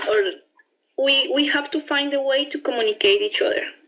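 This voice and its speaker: Speaking with a Spanish accent, a woman keeps a fairly slow pace. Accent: Spanish accent when speaking English. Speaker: au pair. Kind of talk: interview testimony. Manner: halting, with repetitions and fillers.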